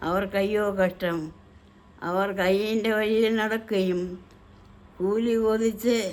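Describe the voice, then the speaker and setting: With monotone, flat intonation, a woman talks at a fairly high pitch. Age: 80s+. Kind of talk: scripture reading.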